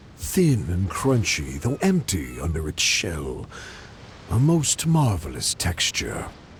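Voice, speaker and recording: A put-on character voice with a theatrical tone moves at a fairly slow pace over clear background noise. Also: man, very deep, low pitch for a man. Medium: video game. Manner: mocking, theatrical, rhyming.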